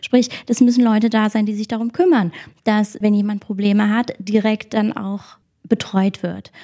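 A woman speaks at a moderate pace with a fairly high pitch and a dark, mellow tone. The recording is very clean, with a silent background. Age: 20s. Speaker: online marketing employee and student. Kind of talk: interview. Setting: company office.

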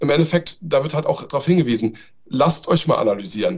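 Here a man talks at a very fast pace. His voice is fairly high and somewhat breathy. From Germany, Taunus (Hesse). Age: 40s. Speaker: ethical hacker, cybersecurity consultant. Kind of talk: podcast interview.

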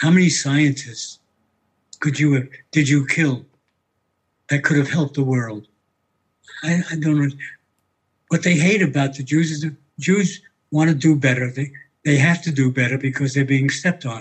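At a moderate pace, a man with a New York accent speaks in a fairly high, somewhat breathy voice, keeping his intonation fairly even and leaving long, frequent pauses. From New York City. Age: 90s. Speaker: war veteran. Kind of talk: testimony.

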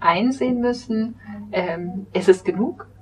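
Music plays behind a woman as she talks. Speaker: podcast host and literary event organizer. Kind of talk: casual discussion. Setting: studio.

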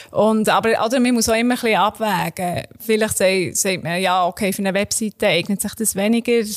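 A woman talks at a moderate pace with fairly even intonation in an ordinary speaking voice. The sound is dry and close, with no echo. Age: 30s. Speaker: marketing expert. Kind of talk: explanatory interview.

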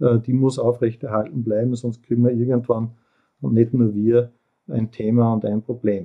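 At a moderate pace, an ordinary speaking voice carries fairly even intonation. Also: man, medium pitch for a man. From Upper Austria. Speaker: industrial company CEO. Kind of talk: interview.

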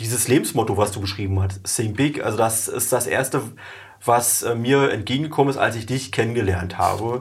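The man's voice is somewhat breathy, with a medium pitch. He moves at a moderate pace with ordinary pitch variation. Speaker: mayor and podcast host. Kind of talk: interview.

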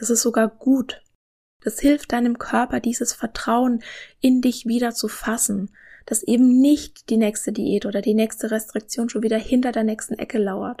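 On a very clean recording with a silent background, a woman speaks at a fairly high pitch in a dark, mellow tone that is calm and soothing. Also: fairly even intonation, moderate pace. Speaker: nutrition scientist and podcast host. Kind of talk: podcast monologue, informative. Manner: calm, soothing.

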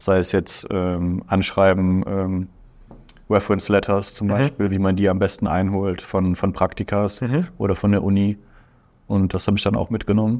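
A man talks at a moderate pace in a fairly low pitch. His intonation stays fairly even. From Aachen, western Germany. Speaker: business graduate, consulting intern. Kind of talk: interview. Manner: hesitant, many fillers.

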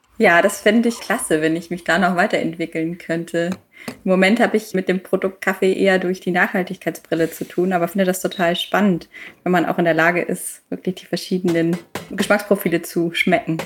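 Monotone and flat in intonation, a woman talks at a fairly quick pace. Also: medium pitch for a woman. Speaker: corporate sustainability manager. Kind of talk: interview. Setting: video call. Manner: fast.

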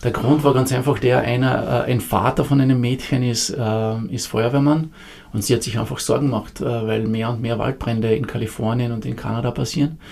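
An unremarkable speaking voice from a man at medium pitch, moderate pace and fairly even intonation. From Austria, Carinthia. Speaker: founder of a youth entrepreneurship program. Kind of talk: podcast interview.

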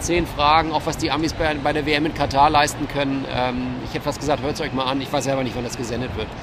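Over noticeable background noise and audible room echo, a man rattles off words at a very fast pace with hardly any pauses, his intonation monotone and flat. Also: fairly high pitch for a man. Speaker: freelance sports journalist. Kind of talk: casual chat. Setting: outdoors at tennis tournament media area.

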